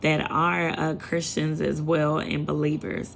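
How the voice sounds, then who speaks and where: A woman talks in an animated tone at a moderate pace. Audible room echo is present. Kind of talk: casual sermon to camera.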